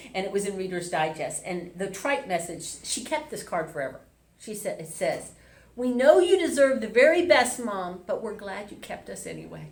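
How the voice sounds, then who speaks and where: In a room with audible echo, a woman talks at a moderate pace and medium pitch, her pitch swinging very widely and her loudness rising and falling sharply. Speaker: minister. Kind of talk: sermon. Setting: hotel event space, also streamed online. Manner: stumbling over words.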